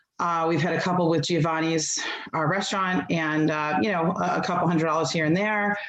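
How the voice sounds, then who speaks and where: A woman with a fairly low voice speaks fairly quickly at very even loudness, with audible room echo and noticeable background noise. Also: fairly even intonation. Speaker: PTSA representative. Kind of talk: public meeting report. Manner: fast; halting, many fillers.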